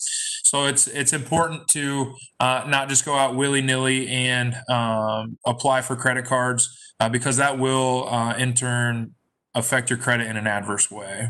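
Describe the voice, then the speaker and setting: In a very clean recording with a silent background, a man with a medium pitch and a bright, sharp tone speaks at a moderate pace in a flat, monotone way. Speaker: banker. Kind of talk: presentation. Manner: hesitant, many fillers.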